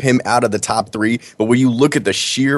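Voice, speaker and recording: Speaking at a fairly quick pace, the man has an ordinary speaking voice and a medium pitch. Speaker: co-host. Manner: excitable.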